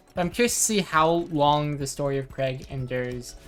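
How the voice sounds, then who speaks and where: Music in the background, with ordinary pitch variation. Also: woman. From Germany. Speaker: video game streamer. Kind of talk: casual livestream chat while gaming. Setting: live stream.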